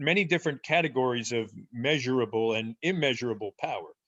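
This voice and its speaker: A man with a New Jersey accent talks at a fairly quick pace, at a medium pitch and with ordinary pitch variation. The sound is dry and close with no echo, over a quiet background. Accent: New Jersey American English. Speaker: professor. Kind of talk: interview.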